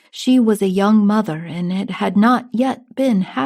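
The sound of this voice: Ordinary variation in pitch across an unforced reading voice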